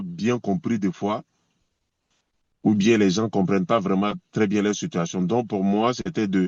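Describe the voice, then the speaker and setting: This is a man speaking. His pitch sits fairly low. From Côte d'Ivoire / Burkina Faso. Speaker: reggae singer. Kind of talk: interview. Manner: hesitant, many fillers.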